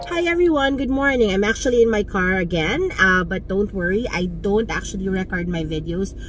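A woman's fairly quick delivery with hardly any pauses, dry sound with no echo and light background noise. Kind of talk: casual vlog chat. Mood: warm, reflective. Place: car. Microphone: phone near.

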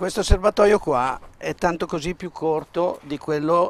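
A plain, everyday voice from a man, fairly slow, with ordinary pitch variation. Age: 50s. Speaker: motorcycle mechanic. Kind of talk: casual interview in workshop. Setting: motorcycle workshop.

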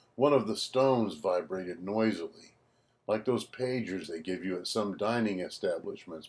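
The clip is a plain reading aloud.

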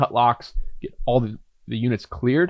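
The background is quiet and the sound is dry with no echo. A man speaks with an American accent. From US Midwest, southern Indiana. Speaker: entrepreneur and podcast host; podcast host. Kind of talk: personal storytelling monologue. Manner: casual, filler-heavy. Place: home room. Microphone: studio mic.

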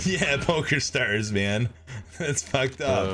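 A man speaks at a very slow pace. Music plays clearly in the background. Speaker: gamer on voice chat. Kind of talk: casual stream chat. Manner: casual. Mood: amused, relaxed.

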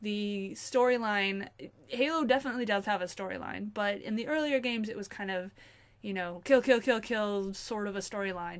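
Big swings in loudness at a moderate pace, with ordinary pitch variation. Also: woman, medium pitch for a woman. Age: 20s. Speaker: gaming youtuber; game reviewer. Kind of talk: video game review. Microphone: webcam.

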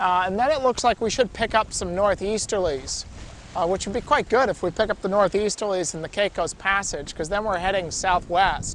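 Light background noise surrounds a man's high-pitched voice, recorded dry with no echo. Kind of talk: casual vlog chat. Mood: calm, slightly concerned. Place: boat. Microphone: camera far.

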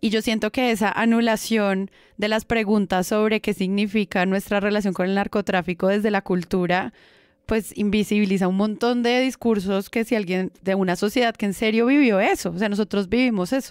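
Recorded very cleanly against a silent background with a dry, close sound and no echo, a woman with a plain, everyday voice speaks at medium pitch and a moderate pace, with fairly even intonation and very even loudness. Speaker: podcast host. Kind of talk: casual chat.

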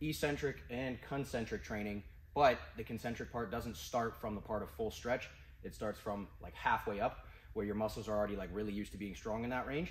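There's light noise in the background. A man talks with ordinary pitch variation. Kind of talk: tutorial. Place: gym. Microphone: camera far.

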